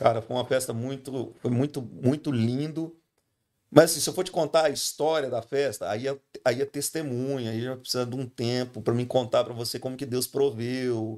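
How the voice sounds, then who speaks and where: A man with an ordinary speaking voice talks at medium pitch and moderate pace, his intonation fairly even. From Brazil, Goiás (Goiânia). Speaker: pastor. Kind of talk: casual chat.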